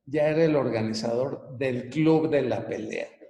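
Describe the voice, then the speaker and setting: Room echo is audible as a man with a fairly high pitch speaks at a fairly slow pace with ordinary pitch variation. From Venezuela (Caracas), then Mexico from age 12. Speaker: business coach and author. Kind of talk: personal life story in a webinar talk. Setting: online live broadcast. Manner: casual, conversational.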